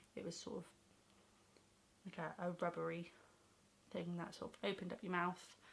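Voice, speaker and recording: Pausing long and often, a woman with a fairly low pitch and vocal fry speaks with fairly even intonation. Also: moderate pace. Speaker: vlogger. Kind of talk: casual vlog.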